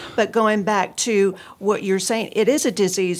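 Captured in a very clean recording with a silent background, a woman with a plain, everyday voice and an American accent speaks at a fairly slow pace and a fairly high pitch. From Texas, Houston area. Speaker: addiction recovery counselor. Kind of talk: interview, personal testimony.

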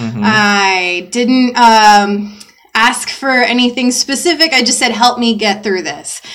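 A woman's fairly high voice at a fairly slow pace, with ordinary pitch variation and noticeable background noise. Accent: American. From US South, Georgia. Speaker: podcast co-host. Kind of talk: casual chat.

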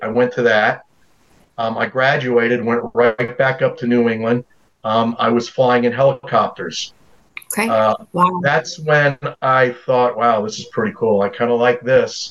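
At a fairly slow pace, a man with an American accent uses an unremarkable speaking voice and ordinary pitch variation. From US South, North Carolina. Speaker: Coast Guard veteran. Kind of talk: casual chat.

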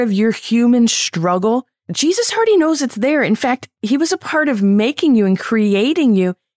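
Intonation here is lively. The sound is dry and close with no echo, in a very clean recording with a silent background. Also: woman. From Syria / Middle East family. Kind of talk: angry rant, fired-up passionate preaching-style monologue. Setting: solo podcast monologue, recorded earlier. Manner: direct, addresses listeners warmly as friends.

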